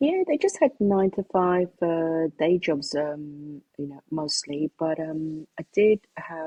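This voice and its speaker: In a British accent, a woman talks at a fairly low pitch with ordinary pitch variation. The sound is dry and close with no echo. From United Kingdom. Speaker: singer and songwriter. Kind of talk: interview. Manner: hesitant, many fillers.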